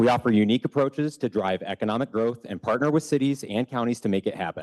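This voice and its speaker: Over a quiet background, a man talks at a very fast pace with ordinary pitch variation in a dry, close sound with no echo. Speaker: economic development business recruiter, public commenter. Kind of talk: public comment at city council meeting, prepared statement. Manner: loud; formal, read from prepared text.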